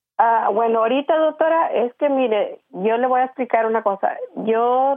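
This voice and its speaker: A woman with a fairly high pitch, lively intonation and a moderate pace. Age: 60s. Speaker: caller seeking advice on depression. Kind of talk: phone-in call to advice show. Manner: halting, many fillers.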